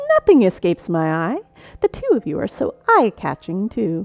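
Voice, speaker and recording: In a put-on character voice, a woman speaks at a medium pitch and moderate pace, with a dry, close sound and no echo. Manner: high-energy, playful, laughing; smug and teasing.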